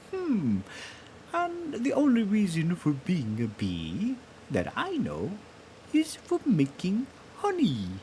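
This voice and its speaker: In a put-on character voice, the speaker goes at a very slow pace with long, frequent pauses over clear background noise. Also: man, high pitch for a man. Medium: read story. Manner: slow, humming and musing.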